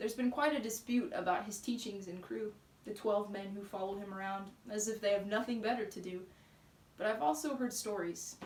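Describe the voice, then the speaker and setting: A woman with a fairly high pitch and ordinary pitch variation is heard over noticeable background noise. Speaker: spoken word poet. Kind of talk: spoken word poetry.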